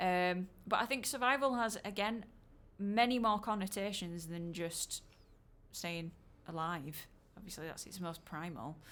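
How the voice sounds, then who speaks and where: Speaking fairly slowly with a Yorkshire accent, a woman at medium pitch uses lively intonation and big swings in loudness. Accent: broad Yorkshire. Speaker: musician discussing own album. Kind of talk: casual podcast chat.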